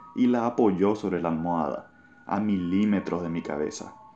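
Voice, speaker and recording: A man with a very deep, low pitch talks with music in the background. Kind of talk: ghost story telling. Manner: tense, suspenseful.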